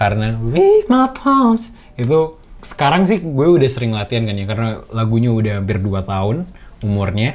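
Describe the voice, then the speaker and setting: Noticeable background noise sits behind a man talking at a fairly quick pace and medium pitch. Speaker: singer and rapper explaining song production. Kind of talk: behind-the-scenes commentary. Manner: casual, slangy, with hesitations.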